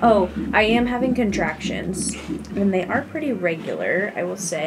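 Noticeable background noise sits behind a woman's voice. She talks at a moderate pace with ordinary pitch variation. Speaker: expectant mother vlogger. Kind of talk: casual vlog chat. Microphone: phone near.

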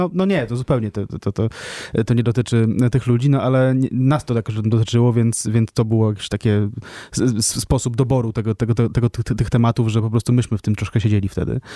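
A man's dark, mellow voice at medium pitch and a fairly quick pace, with fairly even intonation, very even loudness and a dry, close sound with no echo. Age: 30s. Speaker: podcast co-host and book author. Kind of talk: radio interview. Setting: studio. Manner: hesitant, many repeated fillers.

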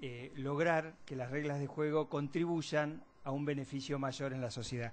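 A man with a fairly high pitch speaks at a fairly slow pace with fairly even intonation in a normal speaking voice. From Argentina. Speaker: moderator. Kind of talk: event moderation. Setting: auditorium with audience. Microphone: podium.

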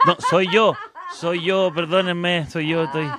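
A man's high-pitched, animated voice at a moderate pace, dry with no echo, over loud background noise. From Chile. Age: 40s. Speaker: radio host; radio host interviewer. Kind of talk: radio interview; reading out viewer comments. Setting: radio studio, live broadcast. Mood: playful, joking. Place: studio. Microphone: handheld.

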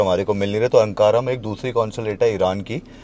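Fairly quick and even in intonation, a man speaks with a dark, mellow tone in a dry recording with no echo. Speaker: travel vlogger. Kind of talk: casual vlog chat. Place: car.

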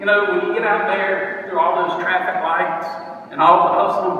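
A man speaks in a raised, projected voice at a fairly quick pace. Strong room echo surrounds him, with light background noise. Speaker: motivational speaker. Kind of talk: short speech at an event. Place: hall. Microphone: phone near.

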